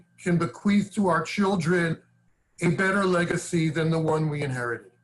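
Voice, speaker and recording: The voice carries a New York accent. Its pitch varies in an ordinary way. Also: man. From New York, Brooklyn and Long Island. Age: 60s. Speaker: advocacy organization leader. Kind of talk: interview conversation.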